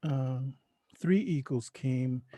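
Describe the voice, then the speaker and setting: A man with an American accent has a dark, mellow tone and a fairly high pitch, the sound dry and close with no echo. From Oklahoma, US. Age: 60s. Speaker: spiritual leader. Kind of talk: interview. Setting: podcast interview. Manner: halting.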